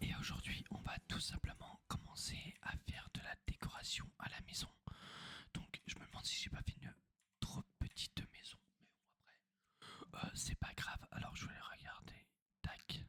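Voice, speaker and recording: A whisper unfolds at a fairly slow pace. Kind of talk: ASMR gameplay commentary. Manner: whispered.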